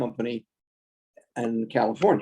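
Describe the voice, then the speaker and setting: With an American accent, a man speaks at a fairly slow pace in a dark, mellow tone. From Texas. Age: 80s+. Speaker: former school board member. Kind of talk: interview. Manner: halting, many fillers.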